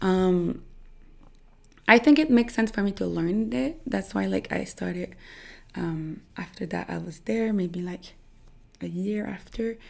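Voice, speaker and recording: Speaking at a fairly slow pace in a Quebec accent, a woman is heard on a very clean recording with a silent background. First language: French. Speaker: social media creator. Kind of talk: interview. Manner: halting, many fillers.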